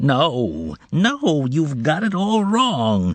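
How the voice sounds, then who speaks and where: Pitched fairly high, a man's voice is a put-on character voice. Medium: read story. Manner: brusque, sardonic.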